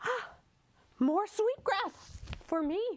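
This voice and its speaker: A woman performs a put-on character voice. It sounds squeaky and sits at an extremely high pitch. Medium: stage play. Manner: quick-witted, chatty, scheming.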